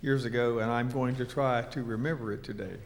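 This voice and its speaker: A man at medium pitch and a moderate pace, with audible room echo. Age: 70s. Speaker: retired church member sharing experience. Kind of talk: personal talk to a small group. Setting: meeting room with microphone.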